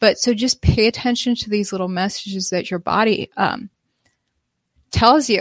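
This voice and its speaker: A woman speaks at a moderate pace in a normal speaking voice, medium in pitch with fairly even intonation. The sound is dry and close with no echo, a very clean recording with a silent background. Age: 30s. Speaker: livestreamer discussing diet and health. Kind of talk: live stream monologue. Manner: casual, filler-heavy.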